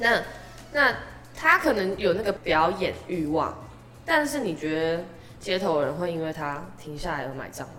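Over music in the background and audible room echo, a fairly low-pitched woman speaks at a fairly slow pace with lively intonation, big swings in loudness and long, frequent pauses. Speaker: street performer singer. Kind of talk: casual interview chat.

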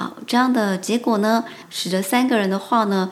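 At a very slow pace and medium pitch, a woman speaks over noticeable background noise. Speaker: Japanese language teacher. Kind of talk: language lesson. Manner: halting.

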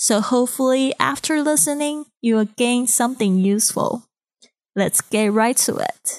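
A woman's high voice in a Chinese accent, with very even loudness, ordinary pitch variation and a moderate pace, dry and close with no echo. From Taiwan (Kaohsiung). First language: Mandarin Chinese. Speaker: podcast host, English teacher. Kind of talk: podcast monologue; recorded speech to a club.

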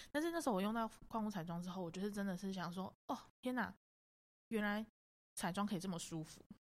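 Over a silent background in a very clean recording, a woman at medium pitch talks very fast with lively intonation. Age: 20s. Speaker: makeup artist and photographer. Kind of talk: casual chat.

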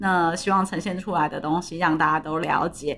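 The tone is bright and sharp, delivered at a moderate pace with fairly even intonation. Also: woman. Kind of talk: casual chat. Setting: remote recording, different places.

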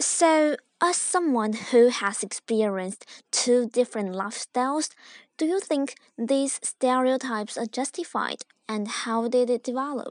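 A woman's high voice with a Chinese accent at a fairly slow pace, dry and close with no echo, over a quiet background. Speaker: student video-channel host.

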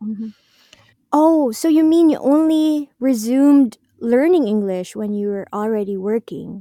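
A woman speaks in a normal speaking voice, pitched fairly high. Her pace is fairly slow and her intonation lively. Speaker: podcast host. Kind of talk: casual chat.

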